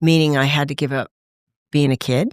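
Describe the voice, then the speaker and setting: In a very clean recording with a silent background, a woman with an American accent speaks at a moderate pace, the sound dry and close with no echo. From Los Angeles, US West Coast. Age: 60s. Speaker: voice actor and recovering addict. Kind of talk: testimony.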